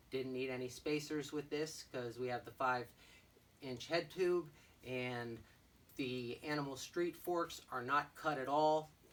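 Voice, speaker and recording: At a fairly slow pace, a man talks with a fairly high pitch and fairly even intonation. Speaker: bike shop owner. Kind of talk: product walkthrough. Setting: shop. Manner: loud; casual.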